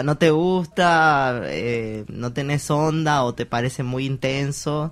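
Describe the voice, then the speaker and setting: On a very clean recording with a silent background, a man has a fairly high pitch, ordinary pitch variation and an ordinary speaking voice. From Argentina, small town. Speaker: interviewee. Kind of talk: interview testimony.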